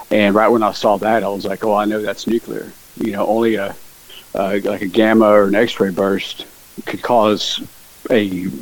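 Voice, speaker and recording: Flat, monotone delivery at a moderate pace amid noticeable background noise. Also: man. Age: 40s. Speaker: conspiracy theorist. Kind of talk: casual interview.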